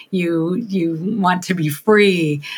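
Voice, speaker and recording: Her voice is an unremarkable speaking voice, a woman at medium pitch with ordinary pitch variation. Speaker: podcast host. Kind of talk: casual interview.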